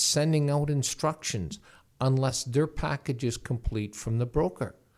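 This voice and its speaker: A man with a Canadian accent in a plain, everyday voice, lively intonation and a moderate pace, on a very clean recording with a silent background. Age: 60s. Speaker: real estate lawyer. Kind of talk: podcast interview.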